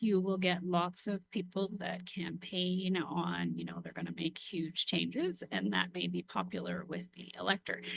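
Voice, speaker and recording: Quiet speech with hardly any pauses. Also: moderate pace. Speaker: council member or municipal official. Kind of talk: council committee meeting discussion. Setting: municipal committee meeting.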